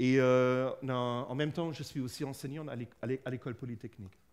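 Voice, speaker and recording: A man at medium pitch with ordinary pitch variation, fairly quick pace, very clean recording and silent background. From Germany. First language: German (speaking French). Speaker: physicist, researcher and lecturer. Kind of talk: public lecture. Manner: halting, many fillers.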